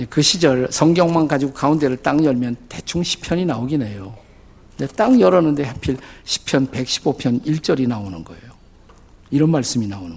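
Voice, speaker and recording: Animated and lively in intonation, a man with a fairly high pitch speaks at a moderate pace with big swings in loudness. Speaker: pastor. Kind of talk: sermon. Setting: church. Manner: animated storytelling.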